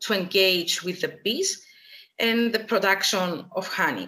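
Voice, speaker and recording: Fairly even intonation runs through the woman's bright, sharp tone. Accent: Greek. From Cyprus, Nicosia. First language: Greek. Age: 30s. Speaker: beekeeper and agronomist. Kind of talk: personal testimony. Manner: halting.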